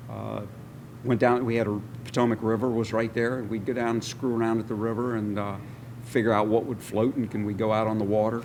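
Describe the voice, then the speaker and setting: The talking moves at a fairly quick pace in an American accent. Audible room echo surrounds the voice. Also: man. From Maryland, Washington DC area. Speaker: war veteran. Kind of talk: interview. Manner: halting.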